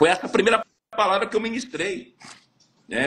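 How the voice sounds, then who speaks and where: A man speaks in a raised, projected voice. His pitch is high for a man. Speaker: pastor. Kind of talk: testimony. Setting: live stream interview.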